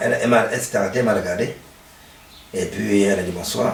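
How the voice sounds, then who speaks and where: There is audible room echo and noticeable background noise. A man talks at a fairly quick pace. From Cameroon. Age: 60s. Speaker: football coach. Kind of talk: interview. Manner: halting.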